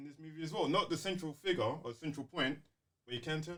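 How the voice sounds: A man's fairly high, fairly bright voice with lively intonation, at a fast pace, in audible room echo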